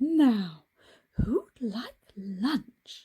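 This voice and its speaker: A woman adopts a put-on character voice pitched fairly high. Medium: read story. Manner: kindly, firm.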